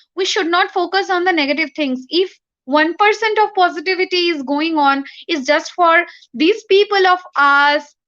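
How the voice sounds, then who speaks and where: A woman talks at a moderate pace in an extremely high pitch with a bright, sharp tone. Her pitch varies in an ordinary way, and the background is quiet. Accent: Bengali. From India (Bengali-speaking). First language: Bengali. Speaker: poet. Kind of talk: interview. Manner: halting. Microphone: bad network.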